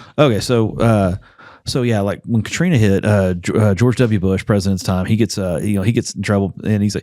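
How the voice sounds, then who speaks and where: With a normal speaking voice and a fairly low pitch, a man talks at a fairly quick pace on a very clean recording with a silent background. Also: ordinary pitch variation. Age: 40s. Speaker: congressional candidate, former oil field worker. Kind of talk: casual podcast interview. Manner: conversational, many fillers.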